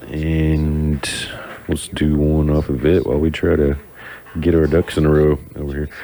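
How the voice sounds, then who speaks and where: Over noticeable background noise, a man with a very deep, low pitch talks at a fairly slow pace. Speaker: radio DJ. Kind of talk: live radio talk. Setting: radio studio. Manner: casual, halting with fillers.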